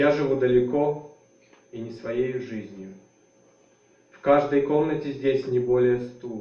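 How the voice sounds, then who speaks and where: Amid noticeable background noise and audible room echo, a man with a Russian accent talks at a fairly slow pace with fairly even intonation. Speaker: writer. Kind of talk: literary reading; spoken introduction. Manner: halting, many fillers.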